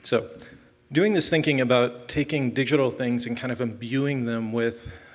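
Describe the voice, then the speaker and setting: Noticeable background noise accompanies a man speaking at medium pitch with fairly even intonation. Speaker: software developer, conference speaker. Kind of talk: conference talk. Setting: stage with audience. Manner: fast.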